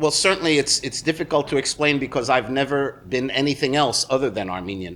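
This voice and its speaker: A man speaks with a New York accent at a fairly high pitch and a fairly quick pace. His intonation is lively, with hardly any pauses. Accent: American (New York area). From New Jersey, US. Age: 60s. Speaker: musician. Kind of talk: interview. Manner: halting, many fillers.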